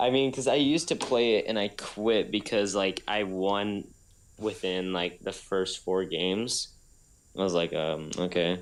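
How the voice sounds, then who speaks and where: On a very clean recording with a silent background, a man with an unremarkable speaking voice talks at a fairly slow pace, his pitch fairly low with ordinary pitch variation. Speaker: podcast co-host. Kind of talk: casual chat.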